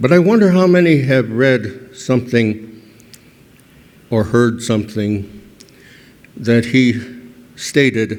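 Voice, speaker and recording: At a very slow pace, a man speaks with long, frequent pauses. His pitch is medium with ordinary variation. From New Mexico, Santa Clara Pueblo. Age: 80s+. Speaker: historian. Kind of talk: award acceptance speech. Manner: halting.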